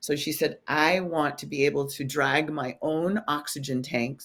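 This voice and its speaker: A woman's voice, very deep and low-pitched. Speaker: fitness trainer; motivational speaker. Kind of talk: interview answer.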